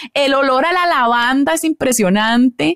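A woman with a high pitch and a Costa Rican accent at a fairly slow pace, recorded dry and close with no echo. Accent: Costa Rican, with the typical Costa Rican R. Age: 30s. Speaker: biblical counselor. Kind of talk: podcast interview, advice on faith and marriage.

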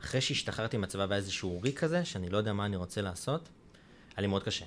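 Talking at a very fast pace, a man has a fairly low pitch. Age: 20s. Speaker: podcast host. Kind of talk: interview.

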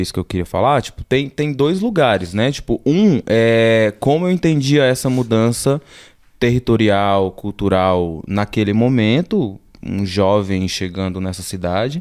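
Fairly slow speech from a man, medium in pitch. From Brazil, Alagoas (Northeast), moved to São Paulo at 14. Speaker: visual artist. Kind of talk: casual interview.

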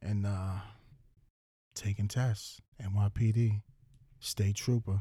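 In a very clean, dry and close recording with no echo and a silent background, a man with a New York accent speaks very slowly with long, frequent pauses, a fairly low pitch, a somewhat breathy quality and a dark, mellow tone. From Long Island, New York (Central Islip, Suffolk County). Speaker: podcast host, police officer. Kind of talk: casual chat. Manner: animated.

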